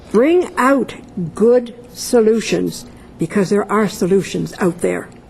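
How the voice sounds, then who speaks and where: Noticeable background noise sits behind the speech. The pace is fairly slow, with ordinary pitch variation. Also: woman. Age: 70s. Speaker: political pundit. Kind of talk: panel discussion.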